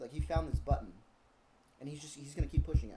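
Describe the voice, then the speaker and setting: Somewhat breathy and fairly high-pitched, the man's voice carries a dark, mellow tone. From Ventura County, California. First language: Spanish. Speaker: comedian. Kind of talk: casual chat.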